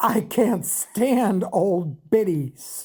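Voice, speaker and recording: The voice is a put-on character. Its tone is raspy. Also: woman, medium pitch for a woman. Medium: read story. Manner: coarse, blunt, ungrammatical.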